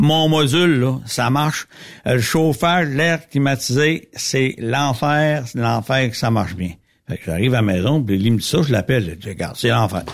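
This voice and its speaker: Lively intonation in a plain, everyday voice at a moderate pace, on a very clean recording with a silent background. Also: man, medium pitch for a man. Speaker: lubricant company representative. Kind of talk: casual chat.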